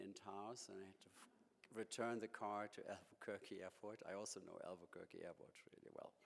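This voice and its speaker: With a German accent, a man talks at a medium pitch in a monotone, flat intonation at a moderate pace. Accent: German accent (jokingly called New York). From Germany. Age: 50s. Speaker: museum director. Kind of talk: lecture.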